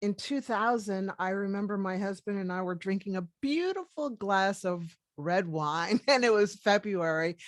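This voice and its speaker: In an unremarkable speaking voice, a woman with an American accent talks at a moderate pace and medium pitch, the sound dry and close with no echo. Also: ordinary pitch variation, very clean recording, silent background. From US, Washington DC. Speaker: medical doctor. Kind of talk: interview.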